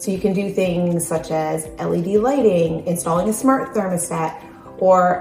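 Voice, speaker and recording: Music plays in the background. A woman with a fairly low pitch talks with ordinary pitch variation. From Newfoundland, Canada. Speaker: realtor. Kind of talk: real estate advice talk to camera.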